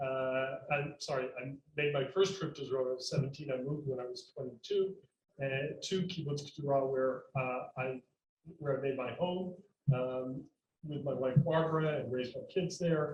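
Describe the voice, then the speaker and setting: This man has a fairly high pitch and a somewhat breathy voice. His intonation stays fairly even at a moderate pace. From US South, North Carolina. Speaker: environmental institute director. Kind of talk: panel talk.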